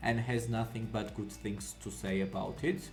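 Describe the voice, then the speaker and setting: Speech moves at a moderate pace. Music plays in the background, and room echo can be heard. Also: man. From Georgia (country). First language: Georgian. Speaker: anime reaction youtuber. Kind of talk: casual video intro monologue. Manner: hesitant, many fillers.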